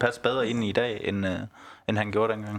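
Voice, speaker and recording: Monotone, flat intonation marks a man's medium-pitched voice as he talks at a moderate pace. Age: 30s. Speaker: football fan. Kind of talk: casual chat. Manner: hesitant, repeats words.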